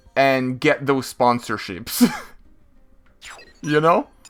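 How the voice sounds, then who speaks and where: A man talks very slowly. Behind him, music is playing. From France. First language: French. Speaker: video game streamer. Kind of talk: casual live-stream commentary.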